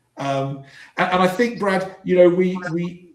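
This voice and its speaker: A man's moderate-paced speech, with ordinary pitch variation, carries audible room echo. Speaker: business coach. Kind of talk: live stream panel discussion. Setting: live stream. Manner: halting, repeats words.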